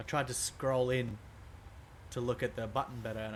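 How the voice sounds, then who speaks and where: The speaker talks at a moderate pace with an Australian accent. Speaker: video game streamer. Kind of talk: casual livestream commentary. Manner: hesitant, thinking aloud.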